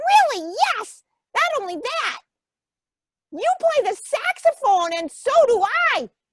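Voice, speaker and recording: A woman puts on a squeaky character voice at an extremely high pitch, with very wide pitch swings. She goes at a fairly slow pace with long, frequent pauses. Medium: read story. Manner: emphatic, repetitive.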